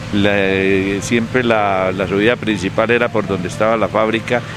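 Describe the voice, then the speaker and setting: Over noticeable background noise, a man speaks at a moderate pace. His fairly low voice is monotone and flat. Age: 60s. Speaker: local elder, interviewee. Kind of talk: oral history interview. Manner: halting, many fillers.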